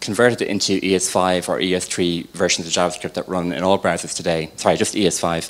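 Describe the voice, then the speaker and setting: In an Irish accent, a man rattles along at a very fast pace with a very deep, low pitch. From Ireland. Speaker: software developer. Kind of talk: tech talk.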